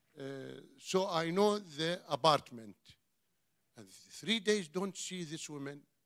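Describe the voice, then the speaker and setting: A man speaks at a very slow pace with a high pitch and an Iraqi accent, his pitch varying in an ordinary way. His loudness swings widely, and long, frequent pauses break up his speech. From Iraq, Basra. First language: Arabic. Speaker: church member, refugee, former ship inspector. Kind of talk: testimony. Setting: church service. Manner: halting.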